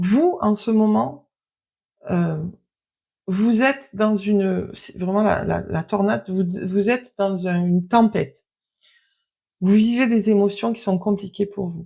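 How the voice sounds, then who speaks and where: Talking at a very slow pace with long, frequent pauses, a woman has a medium pitch and ordinary pitch variation. Her tone is dark and mellow, and somewhat breathy. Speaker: tarot card reader. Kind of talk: card reading. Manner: quiet; hesitant.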